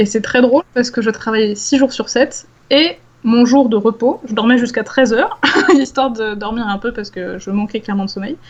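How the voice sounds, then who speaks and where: A woman talks fairly quickly at a fairly high pitch with ordinary pitch variation. Hers is an unremarkable speaking voice. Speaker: science communicator, former PhD researcher. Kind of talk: casual interview conversation.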